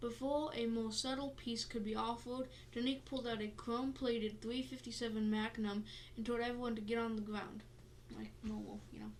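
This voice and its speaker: A woman with a fairly high pitch speaks at a fairly quick pace in a flat, monotone intonation, with audible room echo and noticeable background noise. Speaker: podcast host. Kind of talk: reading aloud; casual chat. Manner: halting.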